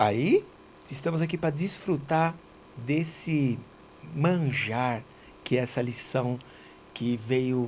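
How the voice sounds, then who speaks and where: The voice is somewhat breathy and moves at a very slow pace with long, frequent pauses. Its pitch varies in an ordinary way. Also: man. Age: 60s. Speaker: auto body shop owner and church member. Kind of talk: casual religious study chat.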